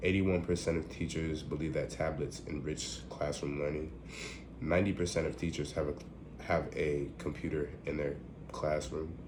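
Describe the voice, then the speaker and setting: The voice carries vocal fry. Audible room echo is present. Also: man, very deep, low pitch for a man, fairly even intonation, moderate pace. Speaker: student giving a class presentation. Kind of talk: recorded class presentation. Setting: at home. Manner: halting, many fillers.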